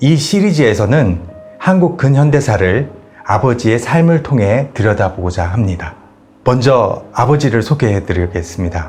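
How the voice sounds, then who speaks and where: Music plays in the background as a man of medium pitch speaks at a moderate pace. His pitch swings very widely while his loudness stays very even. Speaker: YouTube host interviewing his father. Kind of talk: show introduction to camera.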